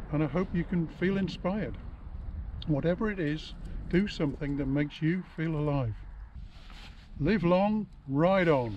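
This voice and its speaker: A man speaks in a high voice with ordinary pitch variation and long, frequent pauses. The sound is dry with no echo, over light background noise. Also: moderate pace. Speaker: retired motorcyclist. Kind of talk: casual talk to camera. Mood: relaxed, upbeat, reflective. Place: open country.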